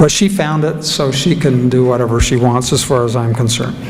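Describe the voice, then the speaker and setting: A man talks at a moderate pace with ordinary pitch variation. Room echo is audible, along with noticeable background noise. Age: old. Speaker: keynote speaker, former lawyer. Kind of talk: ceremony speech.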